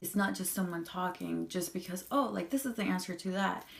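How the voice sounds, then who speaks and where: Noticeable background noise sits behind a woman speaking with a Spanish accent. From Colombia, moved to US at eight. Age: 20s. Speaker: vlogger. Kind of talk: personal testimony. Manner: halting, with repetitions.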